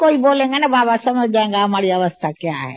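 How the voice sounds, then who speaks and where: A woman at a fairly slow pace, her intonation lively. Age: 70s. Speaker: spiritual elder sharing experiences. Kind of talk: interview testimony. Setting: spiritual retreat.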